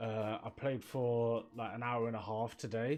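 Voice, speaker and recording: With a Birmingham accent, a man speaks at a medium pitch. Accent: Birmingham (Brummie) English. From England, Birmingham; England. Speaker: streamer and graphic designer; streamer. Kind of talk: casual live stream chat. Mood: relaxed, amused. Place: home room.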